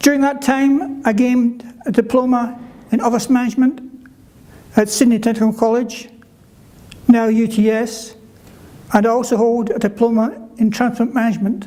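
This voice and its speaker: A man with a Scottish accent speaks at an extremely high pitch and a moderate pace, with monotone, flat intonation and long, frequent pauses. Noticeable background noise and audible room echo are present. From Scotland (Kirkcaldy, Fife). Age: 70s. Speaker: conference speaker living with a neurological condition. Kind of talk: prepared speech. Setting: conference stage with audience.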